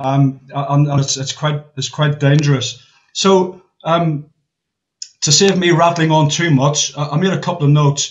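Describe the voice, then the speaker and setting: A man's fairly high, somewhat breathy voice at a moderate pace, with fairly even intonation. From Northern Ireland. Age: 60s. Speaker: war veteran. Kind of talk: casual chat. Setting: video call. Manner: halting.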